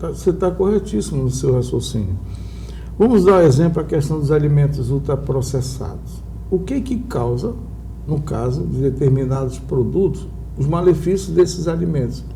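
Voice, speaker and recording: Speaking at a moderate pace, a man comes through with audible room echo and noticeable background noise. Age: 60s. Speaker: entrepreneur. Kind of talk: TV interview.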